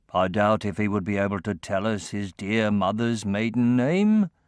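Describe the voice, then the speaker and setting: A put-on character voice from a man, fairly low in pitch and moderate in pace, against a quiet background. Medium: read story.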